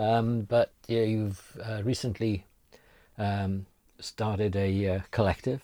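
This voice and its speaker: In a very clean recording with a silent background, a man speaks very slowly in a flat monotone with a dark, mellow tone. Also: fairly low pitch for a man. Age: 60s. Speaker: podcast host. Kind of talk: interview. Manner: halting.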